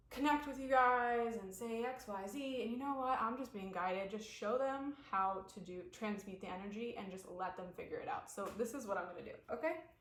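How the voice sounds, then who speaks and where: With hardly any pauses, a woman at a fairly high pitch speaks fairly quickly with ordinary pitch variation, amid noticeable background noise and audible room echo. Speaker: spiritual coach. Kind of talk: guided somatic practice talk. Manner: loud and robotic; animated. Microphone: no microphone, built-in device mic.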